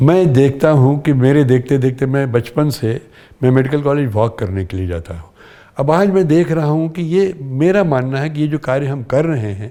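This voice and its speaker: This man's voice has a dark, mellow tone and a fairly high pitch. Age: 80s+. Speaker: veteran theatre and film actor. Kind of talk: interview conversation.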